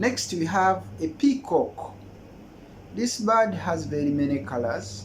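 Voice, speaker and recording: A man with a Ugandan accent, fairly high-pitched for a man, at a very slow pace, with very wide pitch swings and audible room echo. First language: Luganda. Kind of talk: casual language exchange tutorial.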